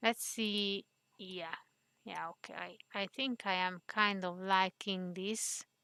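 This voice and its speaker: Speaking very slowly with long, frequent pauses, a woman with a non-native accent has a medium pitch and fairly even intonation. Her bright, sharp tone comes through a dry, close sound with no echo. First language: not English. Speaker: 3D modeling tutorial creator. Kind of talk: tutorial. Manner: hesitant, many fillers.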